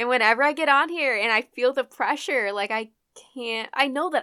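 A woman's raised, projected voice, high in pitch, with a bright, sharp tone. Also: dry, close sound with no echo, very clean recording, silent background. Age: 20s. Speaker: podcast host. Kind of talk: casual solo chat. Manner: casual, chatty, profane; fumbles words, stutters at times.

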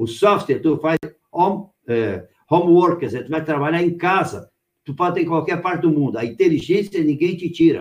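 A man's high-pitched voice, ordinary pitch variation, moderate pace. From Rio Grande do Sul, Brazil. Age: 60s. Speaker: company founder, entrepreneur. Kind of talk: live interview.

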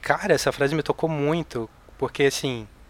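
A man with a normal speaking voice talks at a moderate pace in a fairly high pitch, with ordinary pitch variation. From Rio de Janeiro, Brazil. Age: 40s. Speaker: novelist. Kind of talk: casual chat.

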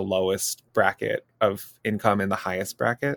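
A fairly slow voice with an American accent comes through dry and close with no echo, in a very clean recording with a silent background. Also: man. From Minnesota suburbs. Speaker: university student, trainee teacher. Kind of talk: casual chat.

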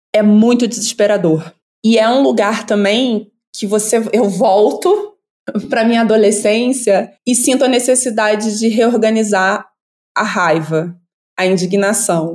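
An unremarkable speaking voice belongs to a woman with a fairly high pitch and ordinary pitch variation. She goes at a fairly slow pace with very even loudness. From Brazil, Rio de Janeiro suburbs. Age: 40s. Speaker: anthropologist. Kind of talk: casual interview chat.

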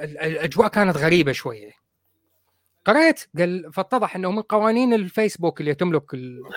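At a moderate pace, a man with a high pitch speaks in an animated tone with lively intonation. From Iraq. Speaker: podcast host. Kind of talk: casual chat. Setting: live video stream.

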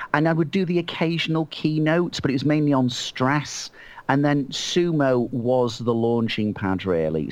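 A man speaks with a Mancunian accent at a moderate pace. The background is quiet. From Manchester, England. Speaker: motivational author and trainer. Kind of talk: casual interview.

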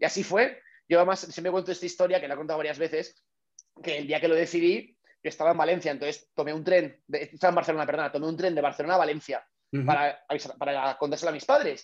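This man's speech races along very fast. Fairly even intonation runs through it. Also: fairly high pitch for a man. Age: 30s. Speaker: startup founder. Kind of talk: casual interview.

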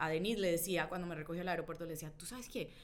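The speaker is a woman with a Colombian accent. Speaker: journalist and writer. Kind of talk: casual chat about a book.

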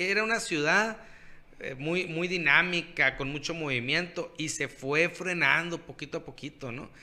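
The speaker is a man with a high pitch and a bright, sharp tone. He talks at a fairly slow pace with ordinary pitch variation. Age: 30s. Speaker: podcast co-host. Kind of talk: casual chat.

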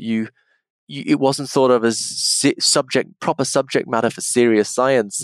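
Over a very clean recording with a silent background, a man speaks at a moderate pace with an English accent. His pitch is medium, and the sound is dry and close, with no echo. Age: 40s. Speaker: philosophy professor. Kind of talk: interview conversation. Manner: halting.

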